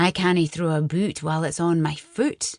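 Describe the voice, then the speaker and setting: In a put-on character voice, the speaker holds a middle pitch at a moderate pace. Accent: Scottish. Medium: read story. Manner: gruff, boisterous.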